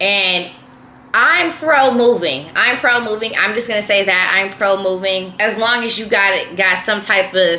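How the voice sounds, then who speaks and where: A woman speaks in an animated tone at a moderate pace. Audible room echo and noticeable background noise are present. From San Francisco Bay Area, California. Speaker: YouTuber. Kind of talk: casual vlog monologue. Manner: animated, repetitive.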